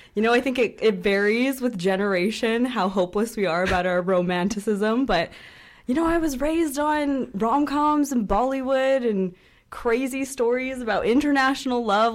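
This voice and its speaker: This woman has a plain, everyday voice, a fairly high pitch and ordinary pitch variation, and speaks at a moderate pace. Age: 20s. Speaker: popular culture columnist. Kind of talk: casual chat. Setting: studio.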